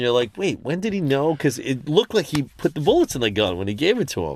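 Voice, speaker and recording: In an American accent, a man talks at a very fast pace with a fairly high pitch and vocal fry. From New York. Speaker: film directing instructor. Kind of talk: casual chat.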